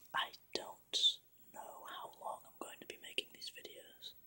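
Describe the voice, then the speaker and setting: At a very slow pace, the words are whispered. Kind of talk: ASMR Q&A talk.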